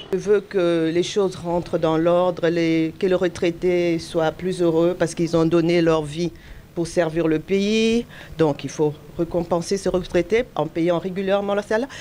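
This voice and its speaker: A woman talks fairly slowly in a dark, mellow tone. Her intonation stays fairly even and her loudness very even. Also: fairly low pitch for a woman. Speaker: voter. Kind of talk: vox pop interview.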